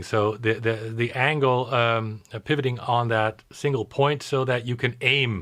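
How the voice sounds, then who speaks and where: In a Dutch accent, a man speaks with fairly even intonation against a quiet background. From Netherlands. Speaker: diorama maker. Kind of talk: live Q&A interview. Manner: halting.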